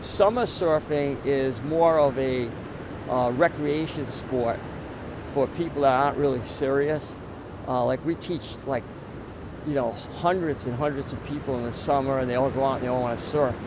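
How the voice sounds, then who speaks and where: Noticeable background noise accompanies a man speaking at a fairly high pitch. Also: fairly even intonation, moderate pace. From Rhode Island. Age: 60s. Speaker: surfer. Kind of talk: interview.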